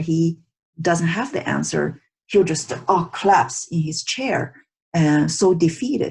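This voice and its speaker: A woman's fairly low, somewhat breathy voice with lively intonation, a fairly slow pace and a non-native accent. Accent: non-native English pronunciation. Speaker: teacher, psychologist. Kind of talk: online lecture. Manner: halting with many fillers.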